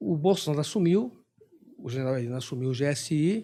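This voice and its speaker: A man speaks with a fairly high pitch and a dark, mellow tone. His pitch swings very widely. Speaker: intelligence expert, retired army officer. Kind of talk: podcast interview. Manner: fast.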